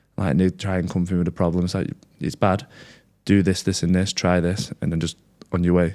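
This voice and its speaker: Recorded very cleanly against a silent background, a man with an English accent speaks at a fairly quick pace in a very deep, low pitch, his tone dark and mellow and his intonation monotone and flat. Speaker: content creator sharing recovery story. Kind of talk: interview. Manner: loud.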